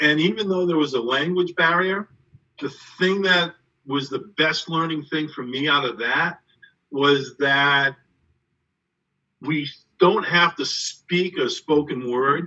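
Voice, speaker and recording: A man with a New England accent and fairly high pitch speaks very slowly, pausing long and often, with ordinary pitch variation. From Somerset, Massachusetts. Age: 60s. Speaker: track and field coach. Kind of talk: interview on live stream. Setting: online live stream.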